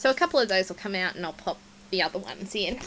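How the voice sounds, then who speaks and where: Here a woman speaks with an Australian accent. Her intonation is lively. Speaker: scrapbooking vlogger. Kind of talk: casual show-and-tell vlog.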